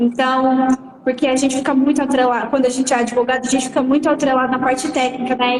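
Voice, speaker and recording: A high-pitched woman against noticeable background noise. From Franca, interior of São Paulo, near Minas Gerais. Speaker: auction lawyer. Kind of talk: live stream interview.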